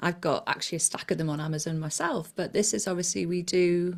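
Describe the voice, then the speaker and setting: A woman speaks at a moderate pace. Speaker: hypnotherapist and weight loss coach. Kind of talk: casual interview chat.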